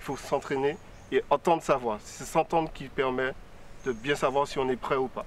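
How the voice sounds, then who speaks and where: The man's fairly high-pitched voice keeps a fairly even intonation. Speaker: student. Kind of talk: studio discussion. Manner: fast.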